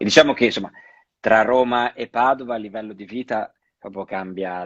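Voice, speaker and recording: With a slight Venetian accent, the speaker goes at a fairly quick pace with fairly even intonation, a dry, close sound with no echo and a quiet background. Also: man. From Veneto, Padua. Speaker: actor. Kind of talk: casual interview. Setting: Instagram live video. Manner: halting, many repetitions.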